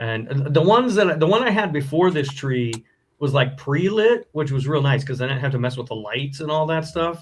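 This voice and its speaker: Ordinary pitch variation marks the speech. It moves at a fairly quick pace. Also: man. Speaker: horror podcaster. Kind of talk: casual chat. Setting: live stream. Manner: loud.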